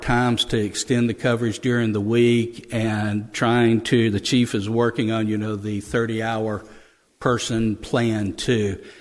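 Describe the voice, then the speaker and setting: This man talks at a very slow pace with an American accent, medium pitch, and a monotone, flat intonation over a quiet background. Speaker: police officer reporting to city council. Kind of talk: meeting report. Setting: city council meeting. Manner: halting, stammering.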